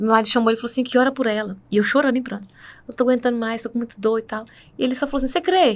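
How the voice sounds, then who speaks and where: A woman's high voice at a very fast pace, with ordinary pitch variation. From northern Minas Gerais, Brazil. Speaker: church worship singer. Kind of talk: testimony.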